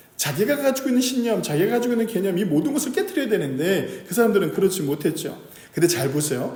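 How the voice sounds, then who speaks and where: With audible room echo, a man talks at a fairly quick pace using very wide pitch swings. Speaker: pastor. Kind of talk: sermon. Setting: church service. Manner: conversational, asks audience questions.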